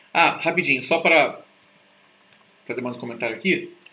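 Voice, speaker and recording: A man speaks with ordinary pitch variation amid audible room echo. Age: 40s. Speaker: teacher. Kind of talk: lecture. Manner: casual, animated.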